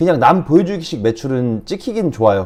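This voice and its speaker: A man talks at a very fast pace in a dark, mellow tone, his pitch swinging very widely. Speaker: online reselling instructor. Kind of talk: tutorial.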